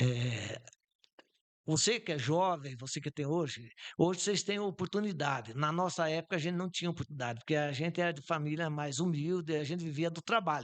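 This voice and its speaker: This man has an ordinary speaking voice, fairly high in pitch, and talks at a fairly quick pace. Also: ordinary pitch variation. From southern Brazil, Santa Catarina (Campos Novos). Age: 60s. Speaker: businessman. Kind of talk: podcast interview. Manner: informal, with frequent fillers.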